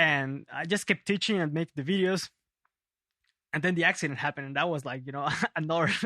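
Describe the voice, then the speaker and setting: A man with a Spanish accent speaks at a very fast pace in a bright, sharp tone, fairly high in pitch, with long, frequent pauses. The very clean recording has a silent background and a dry, close sound with no echo. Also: ordinary pitch variation. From Peru, Lima. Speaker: bass player and teacher. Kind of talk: casual interview. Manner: halting.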